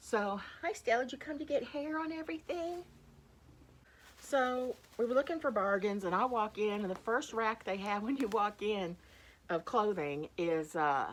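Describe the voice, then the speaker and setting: A woman speaks loudly in a fairly high pitch with an animated tone. Her pitch swings very widely. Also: moderate pace. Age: old. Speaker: thrift reseller and YouTuber. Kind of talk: casual haul video chat.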